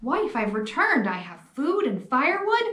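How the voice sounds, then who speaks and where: This is a put-on character voice pitched high. Its pitch swings very widely. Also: moderate pace. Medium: read story.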